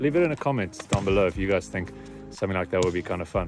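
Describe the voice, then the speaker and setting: Over clear background music, a man with a very deep, low pitch talks at a very fast pace. The sound is dry with no echo. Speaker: drone hobbyist vlogger. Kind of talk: casual vlog chat. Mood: happy, upbeat. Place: open country. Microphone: phone near.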